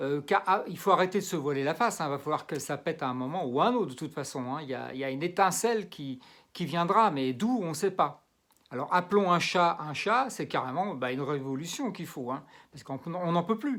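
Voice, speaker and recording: The delivery moves at a fairly quick pace. The recording is very clean, with a silent background. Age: 60s. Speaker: political commentator vlogger. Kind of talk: political rant. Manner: halting.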